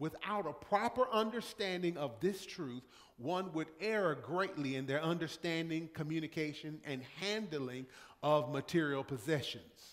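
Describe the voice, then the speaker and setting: A man at a fairly slow pace, lively intonation over a quiet background. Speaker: pastor. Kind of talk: sermon. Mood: warm, anecdotal, emphatic. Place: church. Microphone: podium.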